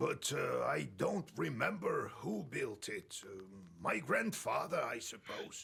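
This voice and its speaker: A man speaks slowly in a put-on character voice. The voice is raspy, and the pace is fairly slow. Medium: video game. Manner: slow, solemn.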